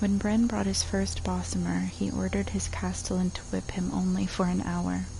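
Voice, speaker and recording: A soft-spoken woman talks in a relaxed tone over noticeable background noise. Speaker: streamer. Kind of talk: reading a book or poem aloud. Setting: casual stream recording with spontaneous asides. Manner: soft-spoken, relaxed.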